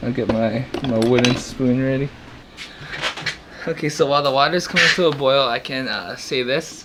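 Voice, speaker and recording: Over noticeable background noise, a man with a medium pitch and ordinary pitch variation speaks at a moderate pace, leaving long, frequent pauses. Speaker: home cook, meal prep video host. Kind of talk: casual cooking talk to camera. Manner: hesitant, stuttering, mumbling.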